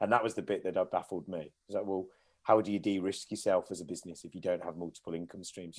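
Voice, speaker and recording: Very fast speech from a fairly low-pitched man with a Midlands accent, fairly even intonation, on a very clean recording with a silent background. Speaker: care home company director. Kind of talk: podcast interview.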